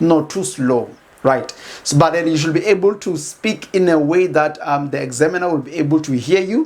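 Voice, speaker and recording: This man's pitch is fairly high. His pitch variation is ordinary. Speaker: educational YouTuber. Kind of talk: tutorial. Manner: fast; halting, many fillers and repeats.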